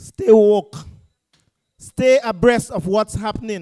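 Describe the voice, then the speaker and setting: A man speaks with a Grenadian accent. The sound is dry and close, with no echo. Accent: Grenadian, unchanged after decades abroad. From Grenada. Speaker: political party speaker. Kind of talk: political rally speech. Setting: public meeting in a school. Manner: impassioned, rousing.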